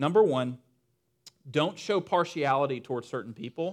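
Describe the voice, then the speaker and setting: A man speaks with ordinary pitch variation and at a moderate pace. The background is silent and the recording very clean. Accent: Southern US. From Western North Carolina. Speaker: pastor. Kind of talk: sermon. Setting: church with congregation. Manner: casual, humorous.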